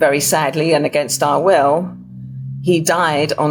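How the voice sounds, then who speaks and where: Over background music, a woman with an English accent and a very deep, low voice talks at a moderate pace with fairly even intonation. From England. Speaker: author and burial preparation volunteer. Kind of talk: podcast interview, personal story.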